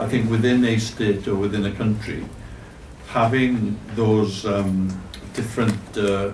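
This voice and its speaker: With a Welsh accent, a man speaks at a moderate pace and a fairly low pitch, with audible room echo and noticeable background noise. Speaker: board member of a cultural organisation. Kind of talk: speech at a forum. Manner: halting.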